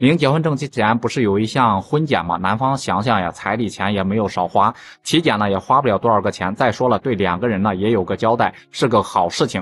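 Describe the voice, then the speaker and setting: A man at a fairly low pitch, with ordinary pitch variation, a fairly quick pace and hardly any pauses. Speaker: vlogger retelling a story. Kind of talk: storytelling commentary. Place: street. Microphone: phone near.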